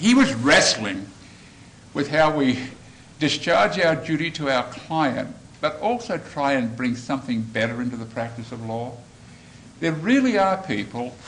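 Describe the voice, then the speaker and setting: A man with an Australian accent talks at a medium pitch with ordinary pitch variation. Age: old. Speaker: former judge and mediator. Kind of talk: speech to lawyers.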